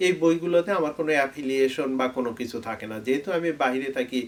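Pitch shifts in an ordinary way. It is an ordinary speaking voice. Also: man. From Bangladesh, Bogura district. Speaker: YouTube tech educator, software QA specialist. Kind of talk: talk to camera, channel Q&A.

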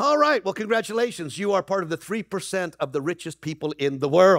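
A man speaks at a fairly quick pace with a high pitch and lively intonation. The sound is dry and close with no echo, in a very clean recording with a silent background.

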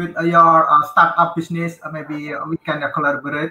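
Light background noise and audible room echo surround the voice. The speaker is a man with a high pitch. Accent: Indonesian. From Indonesia. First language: Indonesian. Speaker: conference moderator. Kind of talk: moderating a session. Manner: halting. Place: office. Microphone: video call.

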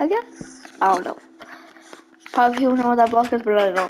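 A woman mumbles in a high voice with lively intonation. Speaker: gaming video creator. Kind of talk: gameplay commentary. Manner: mumbling; animated.

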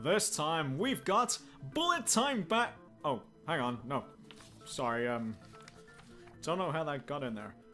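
In a put-on character voice with a bright, sharp tone and big pitch swings, the speaker goes at a fairly slow pace while faint music plays in the background. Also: man, fairly high pitch for a man.

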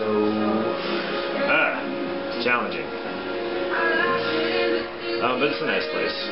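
Over music in the background, the speaker moves at a fairly quick pace. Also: man. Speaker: home vlogger. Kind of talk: casual vlog chat. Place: kitchen. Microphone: webcam.

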